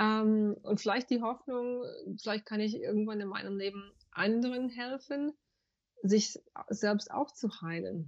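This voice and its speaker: A woman speaks at a very slow pace. Her fairly high voice has ordinary pitch variation. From USA. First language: English (speaking German). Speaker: banker, yoga teacher and spiritual coach. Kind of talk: interview. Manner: halting, searching for German words.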